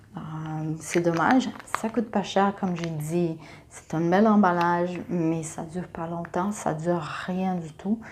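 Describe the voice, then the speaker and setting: Very slow and fairly low-pitched, a woman talks with fairly even intonation. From Brazil. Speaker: makeup YouTuber. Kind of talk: casual talk to camera.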